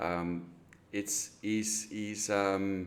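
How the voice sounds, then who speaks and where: A man speaks at a fairly low pitch with a non-native accent. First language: not English. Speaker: real estate agent. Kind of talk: sales call. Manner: halting.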